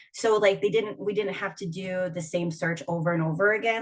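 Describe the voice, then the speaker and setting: Somewhat breathy and fairly low-pitched, a woman speaks in a Minnesotan accent with ordinary pitch variation. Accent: Minnesota. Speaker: union organizer. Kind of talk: panel discussion. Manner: casual, many fillers.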